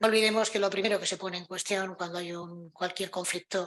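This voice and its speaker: Her voice is bright and sharp at a medium pitch for a woman. She speaks at a fairly quick pace with monotone, flat intonation. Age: 60s. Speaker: panel speaker. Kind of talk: conference talk. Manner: halting, many repetitions.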